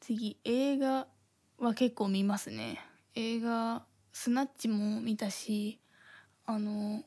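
On a very clean recording with a silent background, a woman with a fairly high, somewhat breathy voice speaks at a very slow pace in a flat monotone, leaving long, frequent pauses. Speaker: podcast host. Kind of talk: casual chat. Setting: home recording in thin-walled apartment. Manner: airheaded-sounding way of talking.

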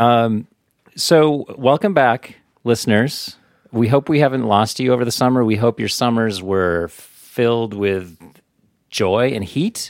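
In a normal speaking voice, a man talks at a fairly slow pace with a medium pitch and ordinary pitch variation. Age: 40s. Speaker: podcast co-host. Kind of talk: casual chat.

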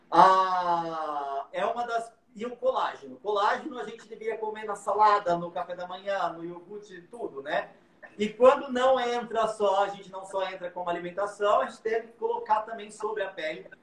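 A man speaks at a high pitch and a moderate pace, with ordinary pitch variation. His loudness swings widely over noticeable background noise. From interior of São Paulo state, Brazil. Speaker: makeup artist and hairdresser. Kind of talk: live makeup tutorial.

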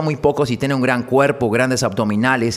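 Noticeable background noise under a man's fairly quick speech. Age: 40s. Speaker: psychologist podcast host. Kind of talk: solo monologue podcast.

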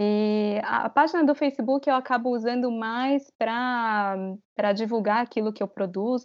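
A woman speaks in an unremarkable speaking voice, fairly high in pitch. Her pace is fairly slow, with ordinary pitch variation. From Brazil. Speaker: travel content creator. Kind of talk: interview.

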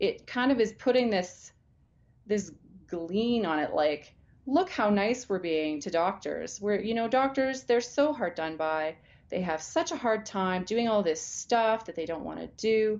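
Using an unremarkable speaking voice, a woman with a Canadian accent talks at a fairly slow pace in a fairly high pitch. Her intonation is lively, and the background is quiet. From Alberta, Canada. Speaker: family physician. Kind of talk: interview.

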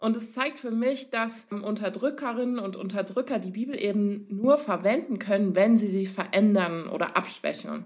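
This is an unremarkable speaking voice with ordinary pitch variation. It moves at a moderate pace. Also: woman, fairly high pitch for a woman. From Cologne region, Germany (rural). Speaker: podcast co-host. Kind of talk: casual chat.

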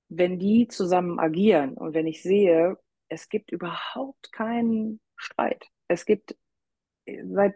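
A woman with a dark, mellow tone speaks at a very slow pace and ordinary pitch variation. The sound is dry and close, with no echo. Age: 40s. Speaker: hobby-horsing coach and association manager. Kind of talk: interview.

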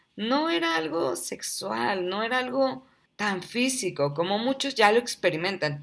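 At a fairly slow pace, a woman speaks in a warm, animated tone with very wide pitch swings, on a very clean recording with a silent background. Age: 30s. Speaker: podcast host. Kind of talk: personal storytelling monologue.

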